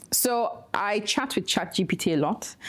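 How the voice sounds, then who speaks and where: Through noticeable background noise, a woman speaks in a Nigerian accent. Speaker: activist and nonprofit director. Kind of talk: conference talk.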